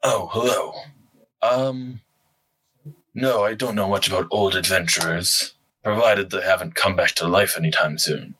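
Someone speaks at a moderate pace in a put-on character voice. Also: man, fairly low pitch for a man. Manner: calm, dry, measured.

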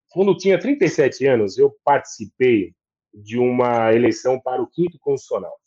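In a dry, close sound with no echo, a man talks at a moderate speed. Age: 40s. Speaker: lawyer and law professor. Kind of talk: casual interview chat. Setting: live video stream. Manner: animated.

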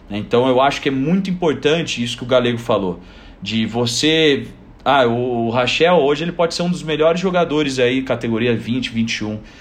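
Lively intonation runs through an ordinary speaking voice delivered at a fairly quick pace. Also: man. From southern Brazil, Joinville. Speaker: basketball coach. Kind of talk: casual chat.

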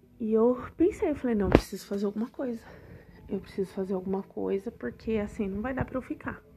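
A woman speaks very fast in a fairly high pitch with ordinary pitch variation. Her tone is dark and mellow, somewhat breathy, against a quiet background. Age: 30s. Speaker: podcast host and holistic therapist. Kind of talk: casual personal monologue.

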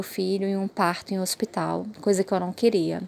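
In a medium pitch, a woman talks at a moderate pace. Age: 30s. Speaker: mother sharing birth story. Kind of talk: personal testimony.

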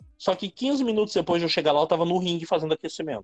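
A man talks very fast in a high voice, the sound dry and close with no echo, with music in the background. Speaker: pro wrestler. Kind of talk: casual interview.

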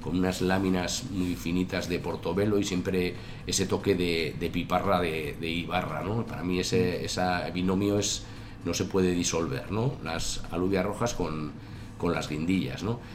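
A man with a very deep, low pitch and ordinary pitch variation speaks fairly slowly. Audible room echo is present. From Basque Country (Tolosa, Gipuzkoa). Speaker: chef and restaurant owner. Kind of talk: interview. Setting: restaurant. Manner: halting.

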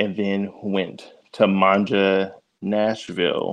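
In a quiet background, a man speaks with flat, monotone intonation. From East Tennessee, Oak Ridge. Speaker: personal chef and caterer, business owner. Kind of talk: casual interview.

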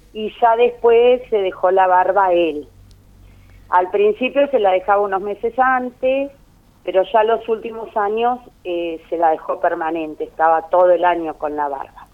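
A woman with an Argentine accent speaks at a medium pitch with lively intonation. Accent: Rioplatense Argentine Spanish. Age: 50s. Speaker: daughter of honoree. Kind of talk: interview.

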